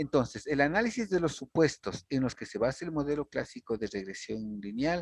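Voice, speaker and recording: Recorded with a dry, close sound and no echo, a man talks at a moderate pace in a normal speaking voice. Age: 60s. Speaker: university lecturer. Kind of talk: lecture.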